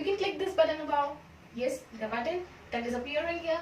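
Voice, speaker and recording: Amid noticeable background noise and audible room echo, a woman with an extremely high pitch speaks at a fairly quick pace and ordinary pitch variation. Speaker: biology teacher. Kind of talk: lecture. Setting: classroom.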